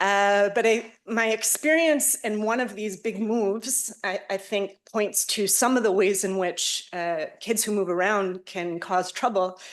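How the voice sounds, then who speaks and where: With an American accent, a woman is talking. She keeps a fairly slow pace. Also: medium pitch for a woman, ordinary pitch variation, hardly any pauses. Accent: American accent in English and Hebrew. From United States. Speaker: professor. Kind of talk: lecture. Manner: hesitant, many filler sounds.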